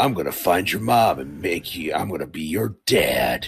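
Putting on a character voice, a man speaks at a moderate pace in a raspy, very deep, low register. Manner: gruff, threatening.

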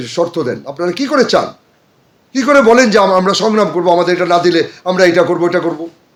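Lively in intonation, the man's voice carries an animated tone. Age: 60s. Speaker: entertainment figure. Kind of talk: interview.

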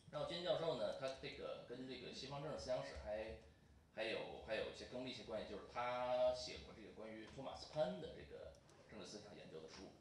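Amid light background noise and audible room echo, a man speaks at a very fast pace with big swings in loudness. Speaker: event moderator. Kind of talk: formal introduction and moderation. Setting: stage with audience. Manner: halting, many fillers. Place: meeting room.

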